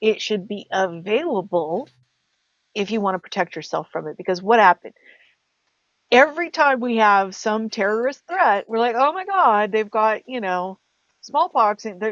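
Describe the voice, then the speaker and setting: Lively intonation runs through a woman's fairly high pitch in an ordinary speaking voice. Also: moderate pace, dry, close sound with no echo. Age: 50s. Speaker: podcast co-host. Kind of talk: casual chat.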